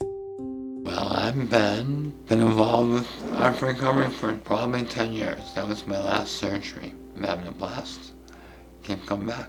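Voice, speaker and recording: A man talks at a fairly slow pace and a medium pitch, his intonation fairly even. The room echo is audible, and background noise is noticeable. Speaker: artist and cancer survivor. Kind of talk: interview testimony. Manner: halting.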